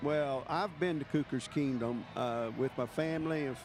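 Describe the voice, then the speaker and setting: Over music in the background, a man with a Texan accent speaks at a fairly slow pace, his pitch fairly high with ordinary variation. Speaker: parade commentator. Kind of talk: live commentary.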